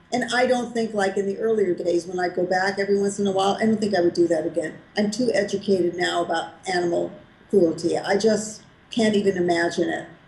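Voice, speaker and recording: A woman with an American accent talks at a very fast pace and fairly even intonation amid noticeable background noise. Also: medium pitch for a woman. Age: 70s. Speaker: raw vegan food author and health advocate. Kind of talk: interview answer.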